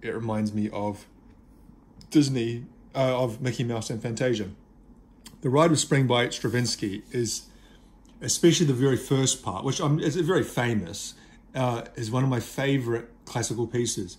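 Somewhat breathy, a man speaks with long, frequent pauses. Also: ordinary pitch variation, moderate pace. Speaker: CD collector reviewer. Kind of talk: casual review chat. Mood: nostalgic, relaxed. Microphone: phone near.

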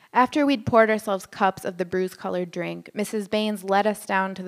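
The clip is plain reading aloud. Intonation stays fairly even.

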